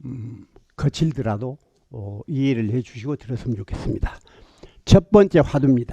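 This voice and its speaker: A man with a dark, mellow, somewhat breathy voice speaks at a moderate pace with lively intonation, big swings in loudness and long, frequent pauses, in a dry, close sound with no echo. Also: medium pitch for a man. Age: 80s+. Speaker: petitioner representative, solar farm investor. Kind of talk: formal petition presentation to council committee. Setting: county council committee hearing. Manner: blunt, forceful.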